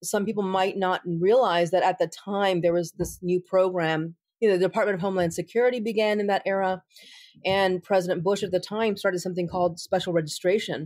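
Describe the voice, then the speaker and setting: On a very clean recording with a silent background, a woman with an American accent speaks at a fairly quick pace in a medium-pitched voice. Hers is an ordinary speaking voice, with fairly even intonation and very even loudness. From United States. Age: 40s. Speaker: attorney and civil rights advocate. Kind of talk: interview.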